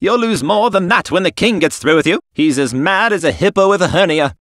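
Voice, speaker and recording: This man's voice sits high for a man, with lively intonation and a fairly quick pace. His loudness stays very even, and the sound is dry and close with no echo. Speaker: voice actor. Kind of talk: voice-match and ADR demo reel.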